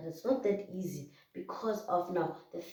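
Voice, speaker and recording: A woman in a South African accent, fairly low in pitch, at a fairly slow pace. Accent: South African, Zulu-speaking. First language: Zulu. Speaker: YouTuber. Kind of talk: casual talk-to-camera advice vlog. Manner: hesitant, many fillers.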